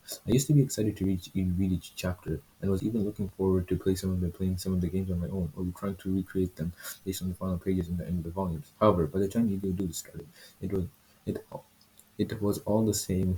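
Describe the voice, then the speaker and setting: A man speaks quietly and very fast, his very deep, low voice dark and mellow, somewhat breathy, with fairly even intonation. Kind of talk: manga review talk to camera. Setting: poor home microphone. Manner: hesitant, stumbling, self-correcting.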